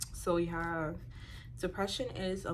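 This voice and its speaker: Audible room echo follows a woman as she talks fairly slowly. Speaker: motivational speaker. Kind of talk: talk to camera. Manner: halting.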